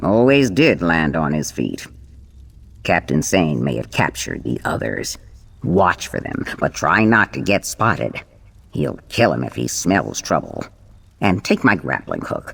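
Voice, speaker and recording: A man's put-on character voice, very deep and low, with very wide pitch swings. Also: moderate pace. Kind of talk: pirate talk. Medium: video game. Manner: gruff, commanding.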